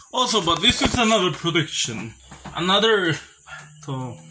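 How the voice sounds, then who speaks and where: A man speaks at a moderate pace, with noticeable background noise present throughout. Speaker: vlogger. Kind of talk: casual vlog chat. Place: home room. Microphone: phone near.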